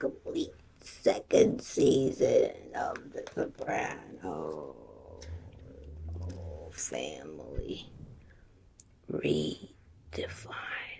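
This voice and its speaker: This put-on character voice is raspy with a grumpy tone. It crawls at a very slow pace with long, frequent pauses. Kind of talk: ASMR roleplay.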